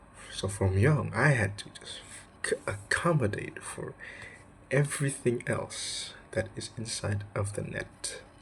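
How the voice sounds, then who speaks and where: Whispering in an Indonesian accent, a man speaks at a fairly slow pace. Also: big swings in loudness. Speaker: student. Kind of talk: vlog. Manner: casual, filler-heavy.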